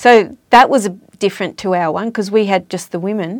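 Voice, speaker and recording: A woman with an Australian accent and ordinary pitch variation, on a very clean recording with a silent background. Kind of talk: casual chat. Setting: studio.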